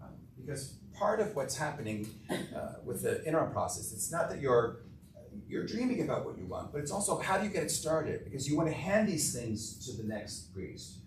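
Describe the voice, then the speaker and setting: Noticeable background noise and audible room echo fill the clip. The speaker goes at a fairly quick pace with very wide pitch swings. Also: man, fairly high pitch for a man. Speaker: interim priest. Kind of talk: adult education talk with Q&A. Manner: fast.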